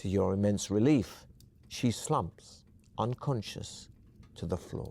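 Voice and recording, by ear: Natural voice, reading aloud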